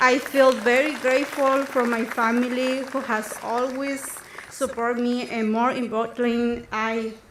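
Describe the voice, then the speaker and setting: A woman talks at a fairly slow pace in a high, flat, monotone voice. Noticeable background noise and audible room echo fill the recording. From Guerrero, Mexico (Mixtec community). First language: Mixtec. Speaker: scholarship recipient, student. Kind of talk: prepared speech. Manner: halting, many fillers.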